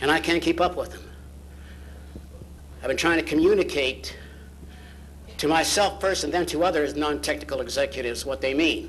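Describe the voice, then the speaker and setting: Audible room echo surrounds a man who talks at a fairly quick pace but leaves long, frequent pauses. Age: 60s. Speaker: founder of a professional society giving a banquet speech. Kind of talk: banquet speech. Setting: banquet hall with audience. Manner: animated.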